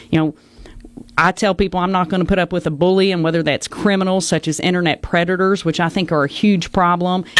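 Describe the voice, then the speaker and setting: A woman with a Southern accent talks at a very fast pace. Her fairly low voice stays monotone and flat. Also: very even loudness. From Arkansas, Batesville. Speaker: political candidate. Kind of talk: debate opening statement.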